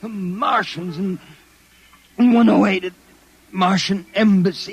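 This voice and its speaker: A man's high voice at a very slow pace, fairly even in intonation, over noticeable background noise. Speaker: private detective character in a radio drama. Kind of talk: old-time radio drama. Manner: frantic, pleading.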